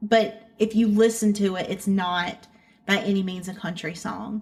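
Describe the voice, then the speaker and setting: A woman with a Southern accent, somewhat breathy, with fairly even intonation. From North Carolina (Hickory area). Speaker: country-pop singer. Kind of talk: interview. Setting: remote interview.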